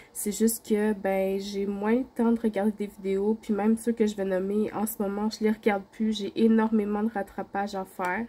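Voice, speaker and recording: At a moderate pace and with hardly any pauses, a woman speaks in a medium pitch with a monotone, flat intonation and a somewhat breathy, dark, mellow tone. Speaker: craft YouTuber. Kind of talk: casual vlog.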